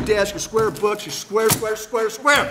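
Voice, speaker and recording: Talking at a fairly quick pace is a man. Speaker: panelist. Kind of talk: impassioned panel talk. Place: hall. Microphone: podium.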